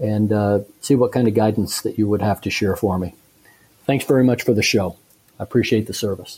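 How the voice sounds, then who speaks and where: A fairly low, somewhat breathy male voice with an American accent, fairly quick in pace and fairly even in intonation. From US Midwest. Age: 50s. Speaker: listener with investment question. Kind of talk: recorded listener question.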